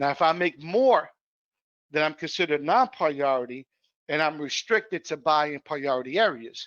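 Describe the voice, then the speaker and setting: A man with a fairly high pitch talks in an ordinary speaking voice. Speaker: housing program trainer. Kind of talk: training webinar.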